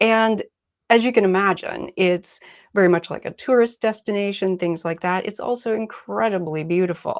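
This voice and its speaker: Relaxed in tone, a woman with an American accent speaks at medium pitch and a moderate pace, with ordinary pitch variation over a quiet background. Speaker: artist and art teacher. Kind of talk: live online art workshop. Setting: live video stream from her desk. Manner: casual, relaxed.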